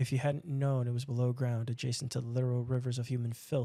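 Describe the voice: This is plain reading aloud. The words are simply read from the page.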